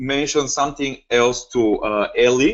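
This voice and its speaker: A man is speaking. He has a Bulgarian accent. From Bulgaria (Varna). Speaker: forex trading educator. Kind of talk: webinar lecture. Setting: online webinar. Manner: hesitant, many fillers.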